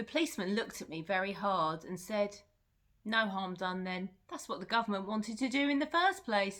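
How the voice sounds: A natural reading voice carries the passage.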